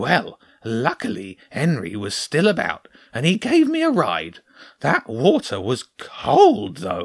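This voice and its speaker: At a fairly slow pace, a man uses a put-on character voice pitched fairly high. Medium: read story. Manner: calm, cautious, matter-of-fact.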